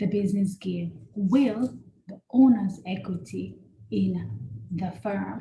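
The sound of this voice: At a slow pace, a woman with a medium pitch speaks in a dark, mellow tone with vocal fry. Audible room echo surrounds her voice. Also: ordinary pitch variation.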